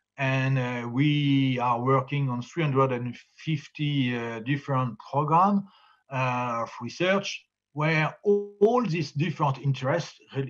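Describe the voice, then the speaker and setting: In a French accent, a man speaks at a fairly slow pace and a fairly high pitch, with ordinary pitch variation. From France, Normandy. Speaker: farmer and farm union leader. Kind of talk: conference presentation. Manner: halting, many hesitations.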